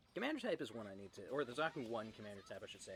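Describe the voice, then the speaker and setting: A man talks at medium pitch with very wide pitch swings. There is music in the background. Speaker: gaming video creator. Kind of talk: gameplay commentary. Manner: casual.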